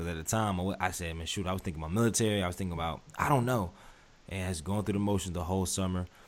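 A man with an American accent, very deep and low in pitch, at a very fast pace. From North Carolina. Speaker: podcast host. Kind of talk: interview.

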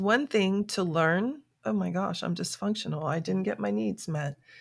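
A woman with a normal speaking voice and an American accent talks at a medium pitch and a fairly slow pace. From South Florida. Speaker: author and life coach. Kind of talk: interview.

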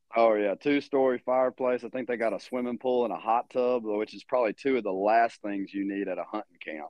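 Speaking in a Louisiana accent, a man talks fairly quickly with hardly any pauses. His pitch is medium and his intonation fairly even. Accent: Louisiana Southern US. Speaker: hunting outfitter. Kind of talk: casual chat.

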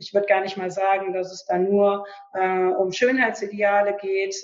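Over music in the background, a woman talks at a fairly slow pace with a medium pitch. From western Germany, Lower Rhine near Düsseldorf. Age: 30s. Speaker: author. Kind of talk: interview, personal testimony. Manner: hesitant, many fillers.

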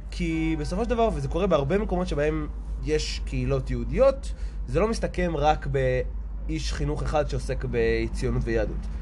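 A man speaks at a moderate pace. There is noticeable background noise and audible room echo. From Israel. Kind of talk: casual interview. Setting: outdoors.

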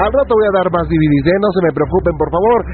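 A man's voice with noticeable background noise. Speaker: radio host. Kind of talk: late-night call-in radio show.

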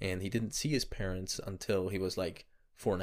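Here is a man with an ordinary speaking voice. His pitch is fairly low and his pace moderate. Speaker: podcast co-host. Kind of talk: casual book discussion.

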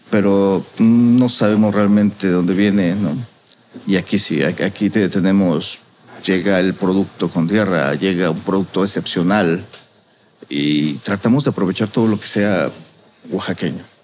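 A man talks at a fairly slow pace with a fairly low pitch. His pitch varies in an ordinary way, and background noise is noticeable. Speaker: restaurant chef. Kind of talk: casual interview.

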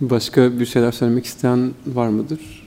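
This is a man with a medium pitch. His tone is dark and mellow. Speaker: student moderator. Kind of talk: moderating a panel. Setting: university panel with audience. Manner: halting.

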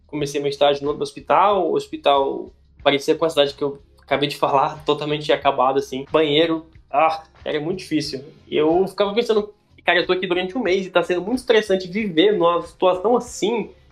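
The talking moves at a fairly quick pace. Music plays in the background. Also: man. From Brasília, Brazil. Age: 20s. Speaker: recently graduated doctor telling travel stories. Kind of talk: casual interview storytelling.

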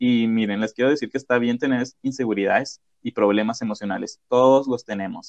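A man speaks in a normal speaking voice at a moderate pace and medium pitch, the sound dry and close with no echo. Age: 20s. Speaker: podcast host. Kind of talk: casual chat.

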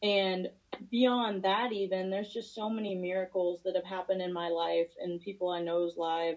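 A woman with an American accent speaks in an unremarkable speaking voice, at a moderate pace and a medium pitch. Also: fairly even intonation. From Missouri. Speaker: MMA fighter. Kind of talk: interview.

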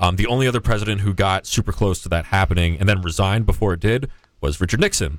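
A man speaks at a very fast pace in a fairly low voice. His pitch varies in an ordinary way. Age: 20s. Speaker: college radio host. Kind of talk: casual chat. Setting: studio.

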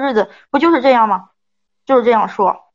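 The woman speaking has a fairly high pitch. She talks at a fairly quick pace. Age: 30s. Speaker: advice show caller. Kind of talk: personal story told to an advice host. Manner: halting.

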